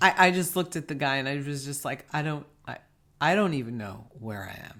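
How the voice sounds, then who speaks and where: A man's fairly high, bright, sharp voice in a New York accent, at a fairly quick pace with lively intonation and big swings in loudness. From New York, US. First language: Spanish. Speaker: podcast co-host. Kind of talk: casual chat.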